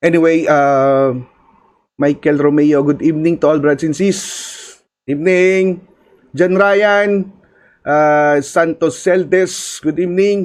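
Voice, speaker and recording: In a Filipino accent, a man with a fairly high pitch speaks very slowly with fairly even intonation. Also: very even loudness. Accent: Filipino (Hiligaynon) English. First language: Hiligaynon (Ilonggo). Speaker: podcast host. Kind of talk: live stream chat with shout-outs. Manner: hesitant, many fillers.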